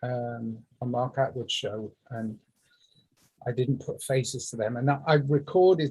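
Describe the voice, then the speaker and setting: This man has a dark, mellow tone at a medium pitch, somewhat breathy, with ordinary pitch variation. He talks at a fairly slow pace with long, frequent pauses. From England. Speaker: musician. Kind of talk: casual chat. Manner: halting.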